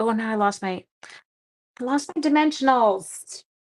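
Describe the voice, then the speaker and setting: A female-sounding, put-on character voice speaks at a moderate pace. It is whiny and fairly high in pitch. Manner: whiny, complaining.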